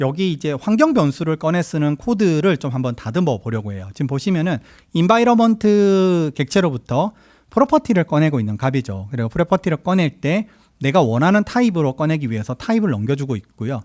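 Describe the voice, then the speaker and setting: A man's fairly high voice at a fairly quick pace, full of very wide pitch swings, with a dry, close sound, no echo, and a very clean recording against a silent background. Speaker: software engineer giving a conference talk. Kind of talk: tech talk presentation. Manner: fast.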